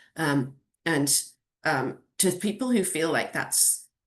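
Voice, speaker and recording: A woman talks with a British accent. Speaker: venture capital investor. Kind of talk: Q&A at an online community event. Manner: many fillers and restarts.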